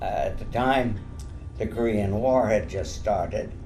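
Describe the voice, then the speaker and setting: With music in the background and audible room echo, a man talks at a very slow pace. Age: 80s+. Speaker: war veteran and stroke survivor. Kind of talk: interview testimony. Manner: halting, many fillers.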